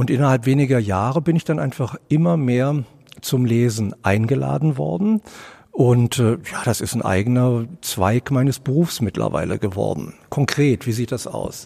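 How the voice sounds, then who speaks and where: A man with a plain, everyday voice at medium pitch, moderate pace and lively intonation. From Berlin (Charlottenburg-Wilmersdorf area). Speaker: author and director. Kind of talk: interview. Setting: theatre foyer.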